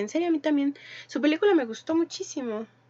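A woman is speaking. Her intonation is lively. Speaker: podcast co-host. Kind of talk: casual chat.

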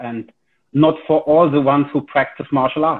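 Speaking with a German accent, this is a man. His pitch is fairly high. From Germany. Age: 40s. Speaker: karate instructor. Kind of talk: casual interview. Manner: hesitant, many fillers.

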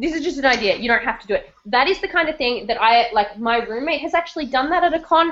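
Barely pausing, a woman rattles along at a very fast pace in a high pitch. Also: lively intonation. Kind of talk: live-streamed casual chat. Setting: video call, live stream.

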